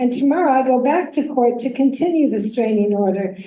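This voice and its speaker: Over noticeable background noise and audible room echo, a woman talks at a fairly quick pace in a high voice. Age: 70s. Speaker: nurse and committee member. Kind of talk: public comment at committee meeting. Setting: committee meeting room.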